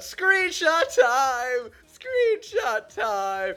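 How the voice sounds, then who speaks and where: The pitch sits high. It is a put-on character voice. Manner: bouncy, exclaiming, comic.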